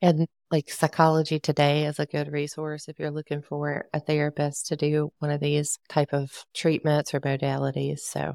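In a very clean recording with a silent background and a dry, close sound with no echo, a woman speaks at a moderate pace in a very deep, low pitch with monotone, flat intonation. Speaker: podcast host and coach. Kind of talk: casual chat.

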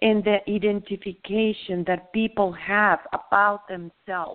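Speaking with a Spanish accent, a woman talks at a fairly slow pace. Her medium-pitched voice has monotone, flat intonation. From southern Mexico. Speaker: spiritual teacher. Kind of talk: spiritual teaching talk. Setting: phone call.

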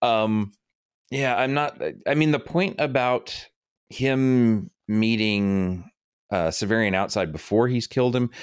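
Recorded very cleanly against a silent background, a man with an ordinary speaking voice talks fairly slowly at medium pitch with lively intonation. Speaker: podcast co-host. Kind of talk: casual discussion with some reading aloud.

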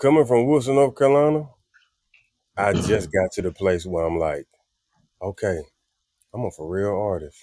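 Here a man with a Southern US accent has a fairly low pitch and a dark, mellow tone. His pitch swings very widely at a moderate pace, broken by long, frequent pauses. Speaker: singer and musician. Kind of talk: casual chat. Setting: living room.

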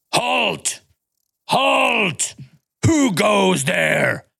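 A man shouts in a raspy, put-on character voice. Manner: shouted challenge.

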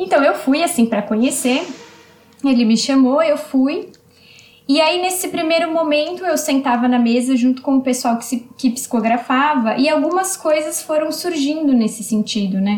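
Pitched high, a woman's voice shows ordinary pitch variation. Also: moderate pace. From Brazil, São Paulo. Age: 20s. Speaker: spiritist medium and social worker. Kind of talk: interview.

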